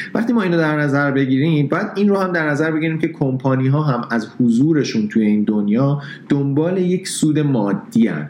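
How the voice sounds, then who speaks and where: Over noticeable background noise, a man speaks at a fairly high pitch with lively intonation. His pace is fairly quick, with hardly any pauses and very even loudness. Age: 30s. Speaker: photographer and blogger. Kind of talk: casual interview.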